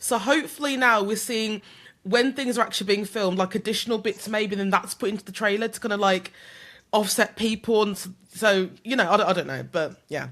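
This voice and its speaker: Ordinary pitch variation at a fairly quick pace, on a very clean recording with a silent background. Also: woman, fairly high pitch for a woman. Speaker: content creator. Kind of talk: casual chat. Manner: loud.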